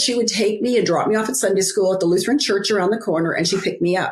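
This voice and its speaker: A woman talks at a very fast pace with hardly any pauses, in a medium-pitched voice with ordinary pitch variation. Her loudness is very even, and there is noticeable background noise. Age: 60s. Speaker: author and biblical life coach. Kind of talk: interview testimony. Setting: podcast interview.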